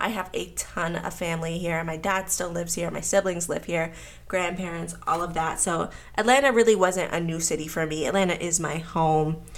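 A woman with an American accent speaks at a moderate pace in a fairly low pitch with vocal fry and fairly even intonation, amid audible room echo. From US, Pittsburgh. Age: 20s. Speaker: podcast host and college student. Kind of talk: casual chat.

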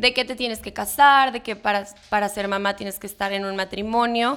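A woman's medium-pitched voice, a normal speaking voice with ordinary pitch variation, on a very clean recording with a silent background. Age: 20s. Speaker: young mother and communications student. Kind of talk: podcast interview.

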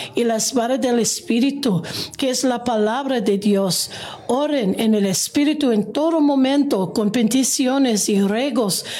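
A woman speaks at a very slow pace with a fairly high pitch and ordinary pitch variation. Her loudness stays very even against noticeable background noise. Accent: non-native. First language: English (speaking Spanish). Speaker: pastor. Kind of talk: scripture reading. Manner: halting.

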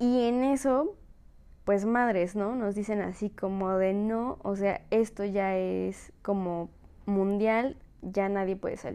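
At a very slow pace, a woman with a Mexican accent speaks at a medium pitch with ordinary pitch variation. Her tone is dark and mellow. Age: 20s. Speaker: podcaster. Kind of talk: casual monologue.

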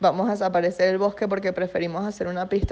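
This woman speaks at a medium pitch in a monotone, flat delivery. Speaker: environmental journalist. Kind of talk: radio interview.

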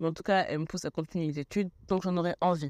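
Recorded very cleanly against a silent background, a woman speaks at a fairly low pitch with ordinary pitch variation, the sound dry and close with no echo. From Senegalese and Guadeloupean family. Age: 20s. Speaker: podcast host, health student. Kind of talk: solo podcast monologue.

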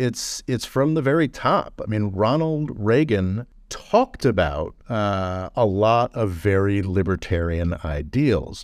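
A normal speaking voice from a man, fairly low in pitch, moves at a fairly slow pace with lively intonation and an American accent. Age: 40s. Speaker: podcast host. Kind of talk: casual chat.

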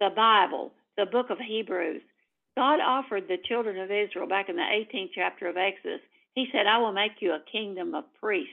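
With a Tennessee accent, a woman talks at a fairly quick pace and medium pitch. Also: ordinary pitch variation. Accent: Southern US (Tennessee). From US South. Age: old. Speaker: activist. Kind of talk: casual chat.

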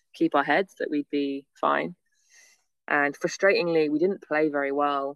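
A woman's voice sits very deep and low, recorded with a dry, close sound and no echo. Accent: northern English. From northern England, near Manchester. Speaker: beach volleyball athlete. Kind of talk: casual interview. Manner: fast, run-on.

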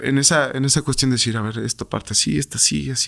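A man speaks at a very fast pace. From Mexico, Irapuato, Guanajuato. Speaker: retired professional footballer. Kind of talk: interview. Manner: halting, frequent repetitions.

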